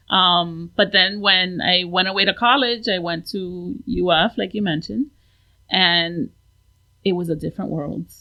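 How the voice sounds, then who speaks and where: In an American accent, a woman speaks at a medium pitch with ordinary pitch variation. Her pace is fairly slow. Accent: Miami Cuban American English. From Miami, South Florida, Cuban American. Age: 40s. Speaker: painter, artist. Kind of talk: casual chat.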